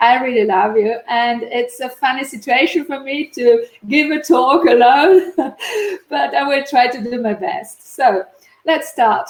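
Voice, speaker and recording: A woman speaks at a fairly slow pace with an Italian accent. Her voice is high-pitched, with ordinary pitch variation. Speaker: neuroscientist and linguist. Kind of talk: conference talk.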